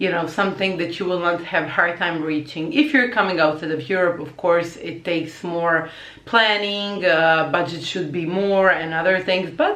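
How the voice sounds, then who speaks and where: In a Croatian accent, a woman speaks at a moderate pace with a fairly low pitch. Noticeable background noise and audible room echo fill the recording. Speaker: language teacher and vlogger. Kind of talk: casual vlog talk. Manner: hesitant with many fillers.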